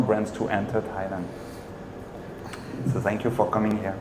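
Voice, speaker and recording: A man speaks with a French accent. Room echo is audible, and background noise is noticeable. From France. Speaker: marketing entrepreneur. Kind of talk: panel discussion.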